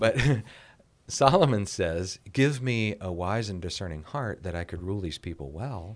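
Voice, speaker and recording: A man speaks with an American accent and lively intonation at a fairly low pitch. It is a plain, everyday voice. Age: 60s. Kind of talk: podcast interview.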